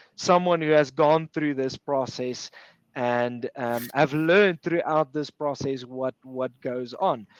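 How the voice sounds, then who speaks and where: A man speaks with an Afrikaans accent and a fairly high pitch. The sound is dry and close, with no echo. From Pretoria, South Africa. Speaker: sports recruiter. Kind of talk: webinar interview.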